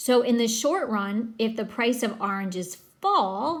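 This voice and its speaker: Audible room echo surrounds a woman's voice. She sounds somewhat breathy, at a fairly high pitch. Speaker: teacher. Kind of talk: recorded lecture.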